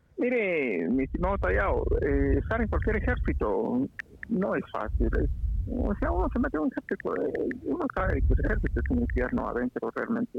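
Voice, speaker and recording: A man speaks at a moderate pace with very even loudness. There is noticeable background noise. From Guatemala, Huehuetenango border area near Mexico. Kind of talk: casual chat.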